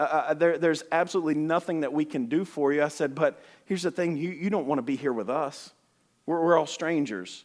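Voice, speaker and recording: A man's fairly high voice in an Alabama accent, with ordinary pitch variation, on a very clean recording with a silent background. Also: fairly quick pace. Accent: Southern US (Alabama). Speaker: missionary. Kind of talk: sermon. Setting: church. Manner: fast; animated.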